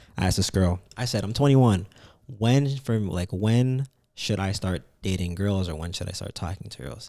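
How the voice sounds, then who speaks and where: A man with a dark, mellow tone speaks at a moderate pace in a fairly low pitch with lively intonation. His loudness swings widely on a very clean recording with a silent background. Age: 20s. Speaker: podcast guest. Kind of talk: casual chat.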